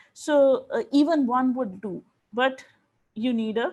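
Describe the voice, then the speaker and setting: With a Bengali accent, a woman speaks at a high pitch against a quiet background. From India, Odisha (rural). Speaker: linguistics professor, keynote speaker. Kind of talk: academic lecture.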